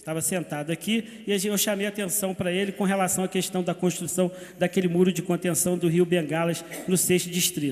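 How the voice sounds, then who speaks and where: This man talks at a fairly quick pace in a high voice, his intonation monotone and flat. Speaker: city councillor. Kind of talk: council session speech. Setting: municipal council chamber. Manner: hesitant fillers.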